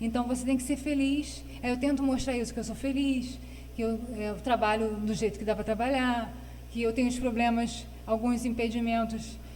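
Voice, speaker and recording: Audible room echo surrounds a woman speaking at a fairly high pitch and a moderate pace in a monotone, flat intonation. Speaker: guest with Parkinson's disease. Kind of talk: interview. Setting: studio.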